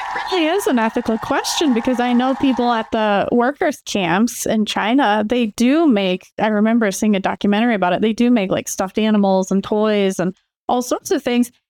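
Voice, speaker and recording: A woman's fairly high voice with a Midwestern accent, at a fairly quick pace with hardly any pauses, very even loudness, ordinary pitch variation, and a dry, close sound with no echo. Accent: General American (Midwest). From Michigan, suburban Detroit. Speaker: co-host and therapist. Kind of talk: casual chat.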